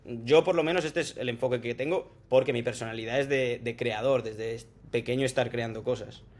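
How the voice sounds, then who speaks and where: Male speech of medium pitch, fairly quick, with ordinary pitch variation. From Spain, Salamanca. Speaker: tech sales professional. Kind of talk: casual interview chat.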